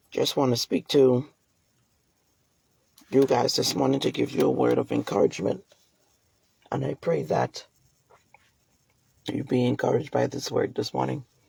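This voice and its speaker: Using a put-on character voice, a man speaks at a moderate pace in a raspy, hoarse tone, leaving long, frequent pauses. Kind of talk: warm, encouraging, like a devotional message.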